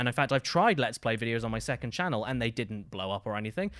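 In a very clean recording with a silent background, a man of medium pitch talks at a very fast pace in an animated tone. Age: 20s. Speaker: gaming comedy YouTuber. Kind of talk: casual chat. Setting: studio.

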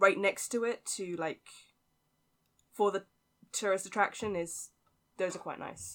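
With a British accent, a woman speaks at a medium pitch with ordinary pitch variation. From UK. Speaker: podcast guest. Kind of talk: casual chat. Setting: remote call. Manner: laughs often.

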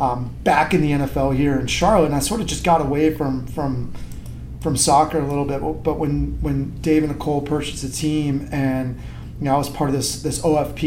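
The speaker has a Western New York accent and a fairly quick pace. The intonation is monotone and flat, with noticeable background noise. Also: man. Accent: Western New York American. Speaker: soccer club president. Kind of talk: casual interview.

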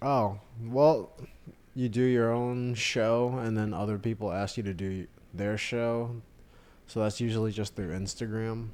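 At a fairly slow pace, a man with an unremarkable speaking voice keeps a medium pitch and fairly even intonation. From Austin, Texas. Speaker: stand-up comedian. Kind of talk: casual interview chat.

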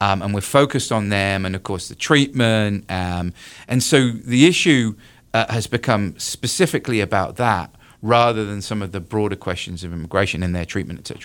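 In a British accent and at a fairly quick pace, a man with a fairly low pitch talks with ordinary pitch variation over a silent background on a very clean recording. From UK. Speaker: university professor of political science. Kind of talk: radio interview on politics. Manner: halting, with many fillers.

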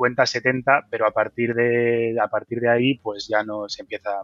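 A man's flat, monotone delivery over background music. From Basque Country, Bilbao. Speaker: wind energy engineer. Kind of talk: interview.

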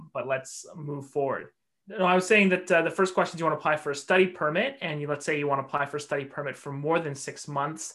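This man speaks very fast with a Canadian accent, his pitch fairly high and varying in an ordinary way. His tone is bright and sharp. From Vancouver area, British Columbia. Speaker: immigration and refugee lawyer. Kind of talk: casual chat.

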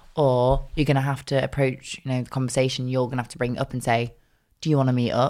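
In a very clean recording with a silent background, a woman speaks at a very fast pace. Her voice is very deep and low, with monotone, flat intonation. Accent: slight Northern English. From South Manchester, England.

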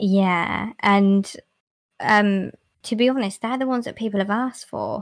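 An unremarkable speaking voice from a woman at medium pitch, with fairly even intonation and a fairly slow pace, in a very clean recording with a silent background. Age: 20s. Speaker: ASMR YouTuber and cosplayer. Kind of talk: casual chat.

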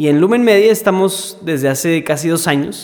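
A man's voice at a fairly high pitch. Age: 20s. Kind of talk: casual conversation on faith topics.

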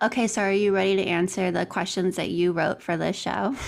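Delivered at a fairly quick pace with fairly even intonation and vocal fry, this voice sits on a very clean recording with a silent background. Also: woman. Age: 30s. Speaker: podcast producer. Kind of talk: interview, casual chat.

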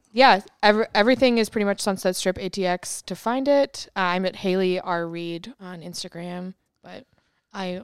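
On a very clean recording with a silent background and a dry, close sound with no echo, a woman speaks in a normal speaking voice at a medium pitch and moderate pace, with ordinary pitch variation. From New York. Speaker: comedy club manager. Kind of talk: casual chat.

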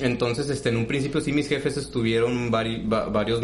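Fairly even intonation and a moderate pace come through audible room echo and noticeable background noise. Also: man. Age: 20s. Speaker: podcast co-host. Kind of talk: casual chat.

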